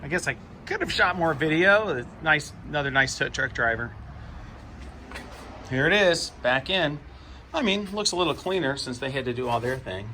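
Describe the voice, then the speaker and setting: The delivery has lively intonation at a moderate pace, broken by long, frequent pauses. Audible room echo surrounds the voice. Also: man, fairly high pitch for a man. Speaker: YouTuber, vlogger. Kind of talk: casual vlog. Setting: at home, garage.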